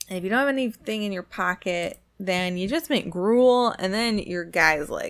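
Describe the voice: The clip is plain reading aloud, with ordinary pitch variation.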